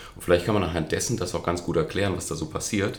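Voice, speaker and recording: A man speaks with an audible echo from the room. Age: 40s. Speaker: nutrition coach and speaker. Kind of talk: interview.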